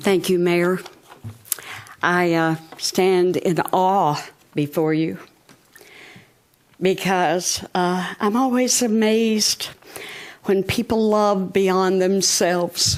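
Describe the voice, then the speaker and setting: Very slow and marked by long, frequent pauses, the delivery comes in a Southern US accent with very even loudness and fairly even intonation. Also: woman, medium pitch for a woman. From Hot Springs, Arkansas. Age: 80s+. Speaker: founder of a women's prayer group. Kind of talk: public address to city board. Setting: city board meeting chamber.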